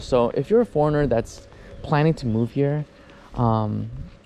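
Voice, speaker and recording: A man in an American accent keeps a moderate pace as noticeable background noise runs beneath. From US. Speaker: travel vlogger. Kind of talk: casual vlog monologue. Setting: outdoors, riding a bicycle. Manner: hesitant, many fillers and restarts.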